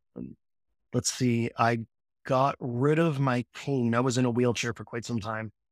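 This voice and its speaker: With a slight Newfoundland accent, a man speaks at a fairly slow pace and medium pitch, his intonation fairly even. The sound is dry and close with no echo, on a very clean recording with a silent background. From Newfoundland, Canada. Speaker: counseling psychology student, former electrician. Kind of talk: casual interview.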